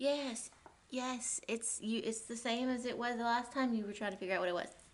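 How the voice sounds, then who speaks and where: A quiet woman's voice, fairly high-pitched, with fairly even intonation and a fairly quick pace. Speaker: book vlogger. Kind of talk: casual reading vlog.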